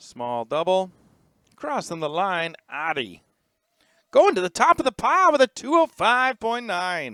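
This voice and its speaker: A man's high-pitched, raised and projected voice, bright and sharp in tone, with very wide pitch swings at a fairly slow pace, dry and close with no echo on a very clean recording with a silent background. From United Kingdom. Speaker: race commentator. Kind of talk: live commentary.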